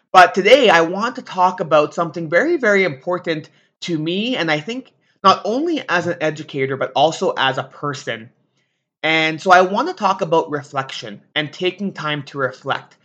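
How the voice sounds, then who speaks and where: Against a quiet background, a man speaks with a high pitch. His intonation is lively. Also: moderate pace. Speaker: teacher and podcast host. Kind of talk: solo podcast monologue.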